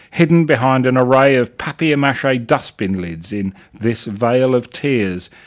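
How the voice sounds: The voice heard here is a natural reading voice.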